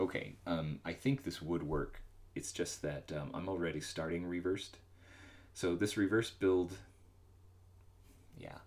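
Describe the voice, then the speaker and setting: The speaker mumbles at a moderate pace with ordinary pitch variation. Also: man. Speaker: solo game developer streaming. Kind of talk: live coding stream commentary. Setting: livestream. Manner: mumbling; halting, many fillers.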